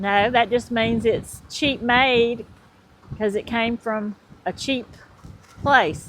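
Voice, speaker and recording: With a Southern accent, a woman speaks at a very slow pace with fairly even intonation and long, frequent pauses. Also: fairly high pitch for a woman. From US South, Georgia. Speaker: vlogger's partner. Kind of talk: casual chat. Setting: outdoors.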